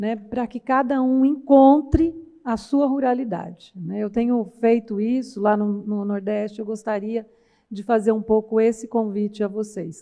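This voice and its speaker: In a São Paulo interior accent, a woman speaks at a fairly slow pace with a fairly high pitch. Her tone is dark and mellow, with ordinary pitch variation. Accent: caipira accent (São Paulo countryside). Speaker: university professor, research project coordinator. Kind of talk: conference panel talk. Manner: conversational, many fillers (né).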